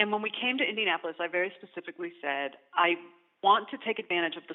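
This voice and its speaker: A woman with an American accent and a fairly low voice, very fast in pace and lively in intonation. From Arizona. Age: 40s. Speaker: architect. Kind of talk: interview. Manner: halting, with many fillers.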